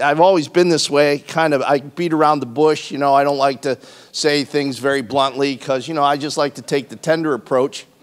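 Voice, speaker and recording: Fairly quick and with hardly any pauses, a man talks with fairly even intonation. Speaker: pastor. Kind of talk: sermon. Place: church. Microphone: handheld.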